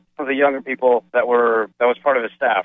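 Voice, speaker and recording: Speaking very fast, a man holds a medium pitch in a monotone, flat delivery. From New Jersey, Edison. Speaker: city council candidate. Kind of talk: radio interview.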